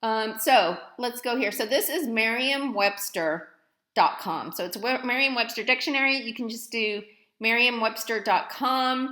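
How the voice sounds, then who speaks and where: A loud, energetic woman's voice with a bright, sharp tone, fairly high pitch, ordinary pitch variation and a fairly slow pace, amid audible room echo. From East Dallas, Texas. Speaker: college professor. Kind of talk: recorded lecture tutorial. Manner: casual, conversational.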